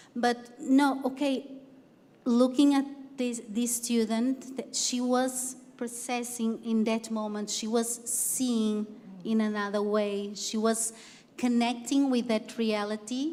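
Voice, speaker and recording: Speaking very slowly with a non-native accent, a woman keeps a high pitch in a monotone, flat intonation. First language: not English. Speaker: university teacher. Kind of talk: panel discussion. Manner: halting.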